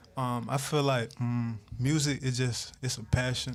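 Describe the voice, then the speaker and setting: In a Southern US accent, a man with a medium pitch speaks in a monotone, flat intonation. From South Georgia, US South (Valdosta). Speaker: rapper. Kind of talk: interview. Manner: halting, many fillers.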